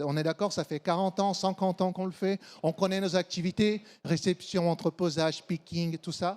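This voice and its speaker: A man's high voice with a slight Brazilian accent, moderate pace and ordinary pitch variation, in a dry, close sound with no echo and a very clean recording with a silent background. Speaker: supply chain consultant. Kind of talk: conference talk.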